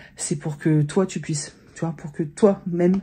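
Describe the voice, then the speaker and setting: A woman speaks at a fairly low pitch in a dark, mellow, somewhat breathy tone, with fairly even intonation. Her pace is fairly slow, and the background is quiet. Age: 40s. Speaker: vlogger and influencer. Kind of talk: casual vlog monologue. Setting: home office. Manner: hesitant, many fillers.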